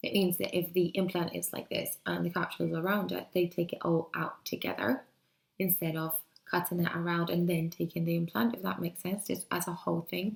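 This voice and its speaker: Her voice is fairly low for a woman and carries vocal fry as she talks at a fairly quick pace with fairly even intonation. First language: Spanish. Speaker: vlogger. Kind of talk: personal video diary. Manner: hesitant, many fillers. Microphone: laptop, poor quality.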